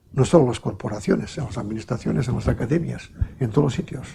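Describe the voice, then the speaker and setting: A man talks with a dark, mellow tone, very wide pitch swings and some vocal fry. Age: 70s. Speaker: archaeologist. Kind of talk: lecture.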